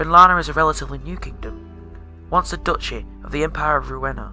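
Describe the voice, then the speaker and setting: Background music under a man's moderately paced speech. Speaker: storyteller, game master. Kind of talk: fantasy story narration.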